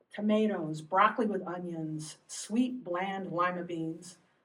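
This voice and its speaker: At a fairly slow pace, a woman with a normal speaking voice talks at medium pitch with ordinary pitch variation. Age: 60s. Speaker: poet. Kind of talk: poetry reading.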